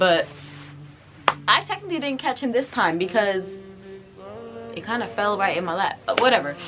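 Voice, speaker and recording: A woman's medium-pitched voice with very wide pitch swings and long, frequent pauses, over noticeable background noise. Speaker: YouTuber. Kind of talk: storytime vlog. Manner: fast; animated.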